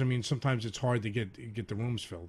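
A man speaks at a very fast pace, his voice somewhat breathy. The recording is very clean, with a silent background. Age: middle-aged. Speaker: comedian and DJ. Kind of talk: casual chat. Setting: studio.

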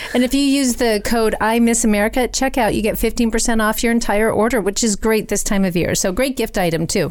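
A woman's fairly high, fairly quick voice with ordinary pitch variation and very even loudness, over noticeable background noise. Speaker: podcast host and author. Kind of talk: casual chat.

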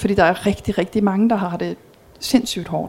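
A woman speaks at a moderate pace in a medium pitch, with fairly even intonation and noticeable background noise. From Belgium. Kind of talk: talk with audience Q&A.

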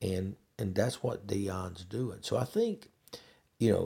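A man's very deep, low voice, dark and mellow in tone, somewhat breathy, at a fairly slow pace. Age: 60s. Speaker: podcast host. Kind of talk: casual monologue. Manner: halting, many fillers.

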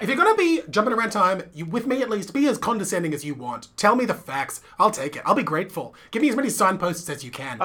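The voice rushes along at a very fast pace with hardly any pauses over noticeable background noise. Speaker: podcast co-host. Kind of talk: casual, conversational. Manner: sounds sarcastic, dry.

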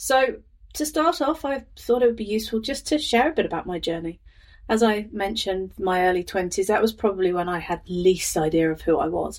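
Speaking in an English Midlands accent, a woman uses a fairly high pitch with very wide pitch swings. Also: fairly quick pace. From England, Northamptonshire. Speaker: life coach and podcast host. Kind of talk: personal storytelling monologue.

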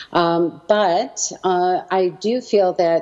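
A fairly low-pitched woman's voice with a Canadian accent, ordinary pitch variation, and noticeable background noise. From Canada, Edmonton, Alberta. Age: 60s. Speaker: educator and small business owner. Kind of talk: interview.

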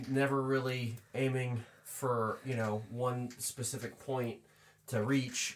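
An ordinary speaking voice comes from a man with an American accent, medium pitch and fairly even intonation. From US Northeast, Pennsylvania farmland. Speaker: podcast co-host, interviewer.

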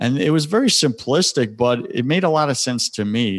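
A man's medium-pitched voice with an American accent and lively intonation, dry and close with no echo, over a quiet background. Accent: New York accent noticed by others. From US Northeast, Long Island, New York. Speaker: spiritual coach and podcast host. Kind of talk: interview, personal testimony.

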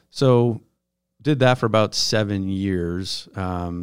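In a very clean recording with a silent background, a man speaks with an American accent and ordinary pitch variation. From Buffalo, New York. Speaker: nonprofit market director. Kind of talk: casual interview.

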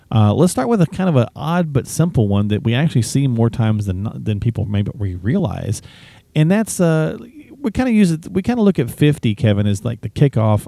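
A man with an American accent speaks at a fairly quick pace in a medium pitch, his dark, mellow tone swinging very widely in pitch, on a very clean recording with a silent background. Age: 50s. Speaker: guest co-host of a finance radio show. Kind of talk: casual chat.

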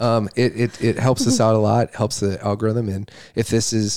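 A man with an American accent has a plain, everyday voice, a fairly low pitch and fairly even intonation, speaking at a moderate pace on a very clean recording with a silent background. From Wisconsin, US Midwest. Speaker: podcast guest, host's husband. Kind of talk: casual chat.

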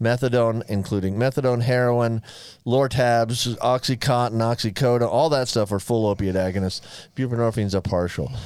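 This man has a plain, everyday voice, a medium pitch, very even loudness, a moderate pace and fairly even intonation. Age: 60s. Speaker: physician and podcast co-host. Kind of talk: medical explanation; casual chat. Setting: studio.

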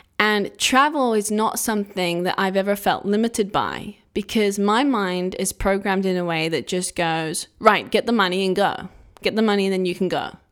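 A woman with an English accent speaks at a medium pitch and a moderate pace, with ordinary pitch variation and hardly any pauses, on a very clean recording with a silent background. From England. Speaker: podcast host, self-healing coach. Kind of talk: solo monologue podcast.

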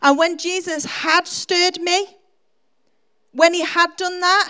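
Raising and projecting her voice, a woman speaks at a fairly slow pace in an extremely high pitch with a bright, sharp tone. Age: 40s. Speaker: preacher. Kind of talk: sermon. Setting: church.

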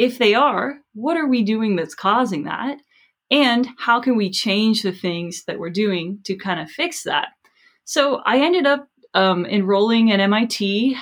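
Speaking fairly slowly with lively intonation, a woman uses an ordinary speaking voice with an American accent. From US South, South Florida. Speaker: professor and author. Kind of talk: interview. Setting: webinar video call.

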